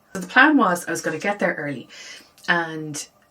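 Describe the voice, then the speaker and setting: Lively intonation and an animated tone in an Irish accent. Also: woman. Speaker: lifestyle vlogger. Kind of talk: casual vlog chat. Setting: home office. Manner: chatty, animated.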